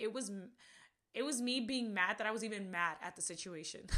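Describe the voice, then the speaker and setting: A woman speaks at a fairly quick pace with a fairly high pitch and an animated, bright, sharp tone. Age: 20s. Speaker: podcast host. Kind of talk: casual chat.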